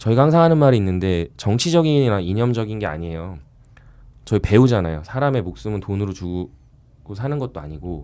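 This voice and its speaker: The recording is very clean with a silent background. A man with a fairly low, dark, mellow voice talks at a fairly quick pace with very wide pitch swings. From South Korea, Gangwon (Chuncheon). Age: 30s. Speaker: volunteer activist. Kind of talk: podcast conversation, personal testimony.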